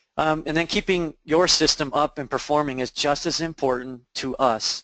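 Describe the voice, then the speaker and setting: A man is speaking with ordinary pitch variation. The background is quiet. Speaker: IT services presenter. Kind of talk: webinar presentation. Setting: online webinar. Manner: fast.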